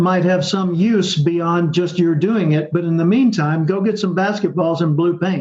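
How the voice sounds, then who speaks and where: With an American accent, a man speaks at a fairly slow pace in a high pitch, his tone dark and mellow and his pitch variation ordinary. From US South. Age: 70s. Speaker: professional speaker and author. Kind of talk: interview.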